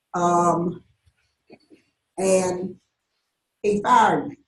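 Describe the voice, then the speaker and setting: With fairly even intonation, a woman talks in a Southern US accent. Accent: Southern US (Georgia). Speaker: retired college teacher. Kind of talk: talk to a live audience. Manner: conversational, with many fillers.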